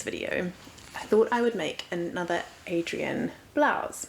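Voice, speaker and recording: A woman speaks with a New Zealand accent against noticeable background noise. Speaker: sewing vlogger. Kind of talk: casual vlog.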